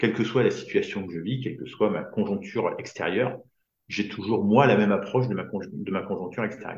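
A man speaks at a fairly quick pace in a fairly low, somewhat breathy voice with ordinary pitch variation. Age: 50s. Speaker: business coach for entrepreneurs. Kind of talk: casual interview.

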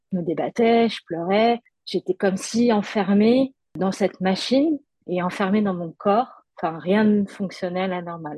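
Speaking slowly-ish, a woman uses a medium pitch with ordinary pitch variation and a dark, mellow tone. The sound is dry and close with no echo, over a quiet background. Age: 30s. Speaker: art director, stroke survivor. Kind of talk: testimony. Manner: halting.

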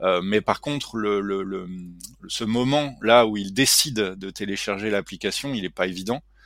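A man talks at a fairly slow pace in a fairly low pitch, with ordinary pitch variation. He has an unremarkable speaking voice. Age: 40s. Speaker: tech startup CEO and engineer. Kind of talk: interview.

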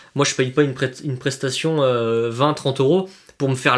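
A man's unremarkable speaking voice, fairly high-pitched with ordinary pitch variation. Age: 20s. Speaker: airsoft player. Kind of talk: casual chat.

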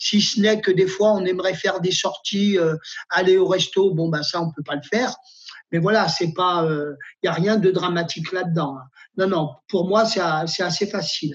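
A man with a high pitch talks at a moderate pace with fairly even intonation. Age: 50s. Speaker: nurse. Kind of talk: personal testimony.

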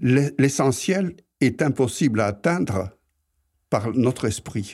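A man with a medium-pitched voice speaks at a very slow pace, using lively intonation and taking long, frequent pauses. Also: very clean recording, silent background. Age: 80s+. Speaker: retiree, host's grandfather. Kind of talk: interview.

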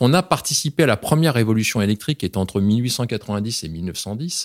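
A man speaks at a moderate pace in an ordinary speaking voice, medium in pitch with lively intonation, on a very clean recording with a silent background and a dry, close sound with no echo. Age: 50s. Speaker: business executive. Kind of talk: interview.

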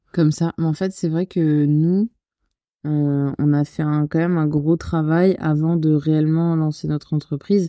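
Her voice very deep and low, a woman speaks at a fairly slow pace with monotone, flat intonation and a dark, mellow tone, the sound dry and close with no echo. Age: 20s. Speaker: wedding photographer. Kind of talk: casual interview.

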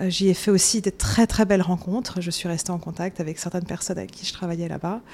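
A woman with a dark, mellow tone and medium pitch speaks very fast with fairly even intonation. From France, Paris. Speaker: author and beauty journalist. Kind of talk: casual interview. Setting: office in Manhattan.

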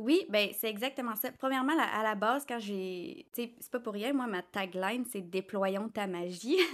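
A woman with a plain, everyday voice speaks fairly slowly at a fairly high pitch, with lively intonation and big swings in loudness. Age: 30s. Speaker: social media manager and intuitive astrologer. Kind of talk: interview.

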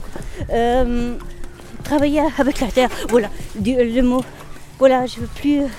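Background noise is noticeable behind this woman. She speaks at a high pitch with lively intonation. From rural France. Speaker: unemployed resident. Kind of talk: interview. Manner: halting.

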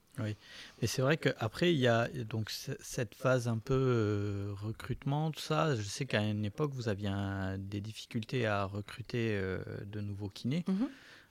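In a very clean recording with a silent background, a man talks with an ordinary speaking voice. His pitch is medium with ordinary variation, and his pace is fairly slow. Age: 40s. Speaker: podcast host and orthotist. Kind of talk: casual interview.

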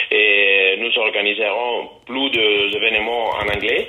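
Speech comes at a very slow pace. Noticeable background noise runs underneath. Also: man. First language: Italian (speaking French). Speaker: festival organizer. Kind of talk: interview. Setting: phone call.

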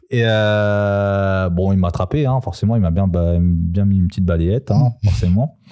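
A man with a dark, mellow tone talks at a fairly low pitch and a moderate pace. His pitch varies in an ordinary way, and he hardly pauses at all. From Paris suburbs (Seine-Saint-Denis). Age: 20s. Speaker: former basketball player. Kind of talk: casual chat. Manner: halting, many fillers.

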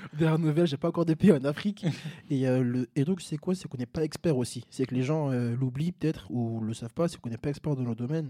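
In a dark, mellow tone, a man with a fairly high voice talks very fast with ordinary pitch variation, the sound dry and close with no echo. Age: 20s. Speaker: content creator. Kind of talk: casual chat.

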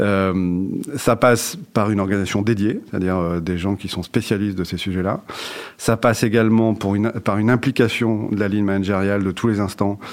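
A fairly quick pace paired with fairly even intonation. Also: man. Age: 40s. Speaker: HR director. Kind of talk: interview. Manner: halting, many fillers and repetitions.

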